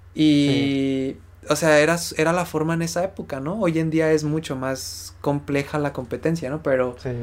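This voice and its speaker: A man's normal speaking voice at a fairly high pitch, with ordinary pitch variation. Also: moderate pace. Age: 20s. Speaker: podcast co-host. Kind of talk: casual chat.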